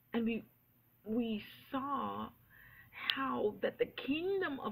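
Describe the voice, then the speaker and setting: A woman speaking with a high pitch. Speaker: preacher. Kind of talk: sermon. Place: church. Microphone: webcam.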